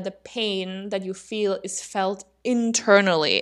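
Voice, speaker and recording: A woman at a medium pitch is heard in a very clean recording with a silent background. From Austria. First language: German. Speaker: podcast co-host. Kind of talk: casual educational discussion. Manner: laughs often.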